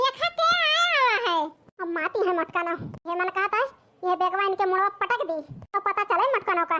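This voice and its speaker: In a cartoonish character voice, a woman speaks at an extremely high pitch, with ordinary pitch variation and a moderate pace. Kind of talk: village cartoon comedy dialogue.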